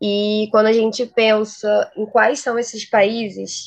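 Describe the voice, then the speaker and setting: A woman with a fairly high pitch speaks with monotone, flat intonation. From Rio de Janeiro. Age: 20s. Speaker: international relations graduate and researcher. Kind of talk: interview.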